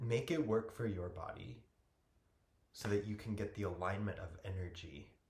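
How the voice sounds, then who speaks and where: With a somewhat breathy voice, a man speaks at a moderate pace in a fairly low pitch. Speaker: yoga teacher. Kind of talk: guided yoga class.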